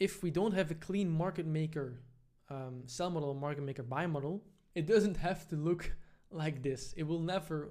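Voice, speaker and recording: This man has a fairly high pitch with ordinary pitch variation. His tone is dark and mellow. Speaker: trading educator. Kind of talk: tutorial. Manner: fast; casual, filler-heavy.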